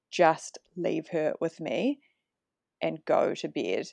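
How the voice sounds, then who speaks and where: Recorded with a dry, close sound and no echo against a quiet background, a woman speaks with a New Zealand accent. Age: 30s. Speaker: mother sharing postpartum experience. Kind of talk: casual chat.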